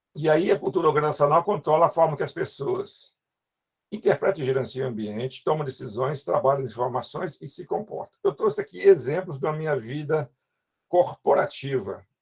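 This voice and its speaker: A man with a rather high pitch sounds somewhat breathy, his pitch shifting in an ordinary way. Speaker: university lecturer. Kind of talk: lecture. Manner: fast.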